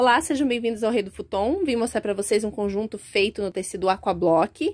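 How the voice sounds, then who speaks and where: A woman is speaking. Her intonation is lively. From Brazil. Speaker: small business owner presenting products. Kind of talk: product demonstration. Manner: casual, conversational. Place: workshop. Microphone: phone near.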